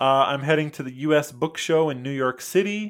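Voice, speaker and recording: An American accent with ordinary pitch variation. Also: man. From US, Michigan. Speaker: comic book author. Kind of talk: casual chat.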